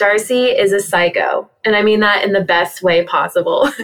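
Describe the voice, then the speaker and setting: A woman's unremarkable speaking voice in an American accent, fairly high in pitch, with ordinary pitch variation and a moderate pace. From US Southwest and Texas. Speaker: dog social media creator. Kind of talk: interview.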